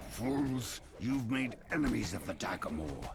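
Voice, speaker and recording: A man's put-on character voice, growling and croaky at a medium pitch, with clear background noise. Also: fairly slow pace. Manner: menacing, threatening.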